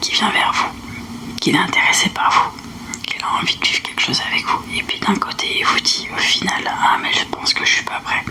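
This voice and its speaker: A woman whispering at a moderate pace, with long, frequent pauses and noticeable background noise. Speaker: fortune teller (voyante). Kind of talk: fortune-telling reading / roleplay. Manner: soft-spoken.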